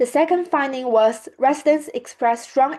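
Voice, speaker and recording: A woman with a Chinese accent, high in pitch with ordinary variation, at a moderate pace. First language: Mandarin Chinese. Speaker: student. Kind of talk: presentation.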